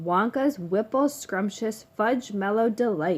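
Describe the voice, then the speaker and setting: A woman uses a put-on character voice with a fairly high pitch. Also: fairly slow pace. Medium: read story.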